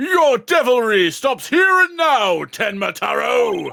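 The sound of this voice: A raised, projected, put-on character voice moves at a fairly slow pace. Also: man, extremely high pitch for a man.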